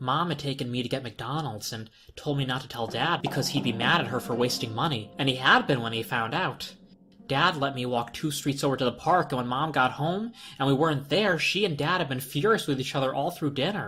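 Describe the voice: Bright and sharp in tone, a man's medium-pitched voice moves at a fairly quick pace with ordinary pitch variation.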